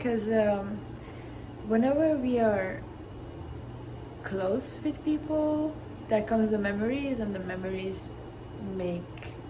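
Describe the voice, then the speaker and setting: Woman's fairly high voice at a very slow pace, lively in intonation, with audible room echo and noticeable background noise. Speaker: university athlete. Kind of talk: interview answers.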